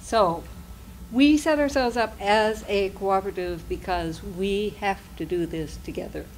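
The fairly slow speech carries lively intonation, with audible room echo around it. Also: woman, medium pitch for a woman. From Nova Scotia. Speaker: investment co-op founder presenter. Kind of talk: conference presentation.

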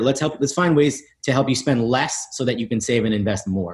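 A somewhat breathy man with an American accent, lively intonation and a fairly quick pace against a quiet background. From New York City (East Village); New York City. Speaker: tech company founder and CEO; guest. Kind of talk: interview; interview answer. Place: home room. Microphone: video call.

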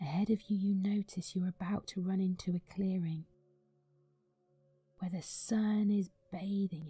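With music playing behind her, a woman speaks at a medium pitch and a fairly slow pace, her flat, monotone delivery broken by long, frequent pauses. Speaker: meditation guide. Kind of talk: guided meditation. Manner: slow, soft-spoken.

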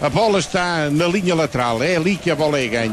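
There is noticeable background noise. A man speaks at a fairly quick pace with ordinary pitch variation. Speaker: radio football commentator (co-commentator/analyst). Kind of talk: live football radio commentary, calm analysis. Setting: radio broadcast from stadium. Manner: calm, measured, analytical.

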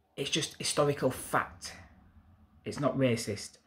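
Against a quiet background, a man speaks with a Yorkshire accent. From Yorkshire, northern England. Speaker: YouTuber, political commentator; commentator. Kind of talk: opinion monologue to camera. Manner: hesitant fillers. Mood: indignant, earnest. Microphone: phone near.

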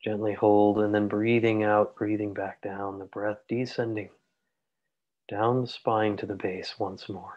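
Calm, soothing male voice, fairly low and monotone, against a quiet background. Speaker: meditation teacher. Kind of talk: guided meditation. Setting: online group call. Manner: slow, calm, soothing, with long pauses; gentle, soft-spoken. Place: home room. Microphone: earbuds.

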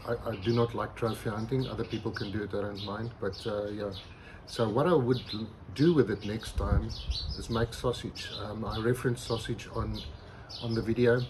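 There is noticeable background noise. A man speaks at a moderate pace with fairly even intonation. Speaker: barbecue channel host. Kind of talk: casual vlog chat. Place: garden.

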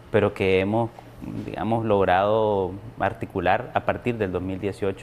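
Over light background noise, a man speaks at a fairly slow pace and a fairly low pitch, with fairly even intonation. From Nicaragua. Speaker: opposition activist; opposition political council member. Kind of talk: formal TV interview. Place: studio. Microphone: lapel.

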